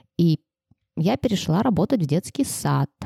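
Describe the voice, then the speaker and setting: A woman with a very deep, low pitch and dark, mellow tone, lively intonation at a moderate pace, in a dry, close sound with no echo. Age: 30s. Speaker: preschool teacher and author. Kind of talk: casual chat.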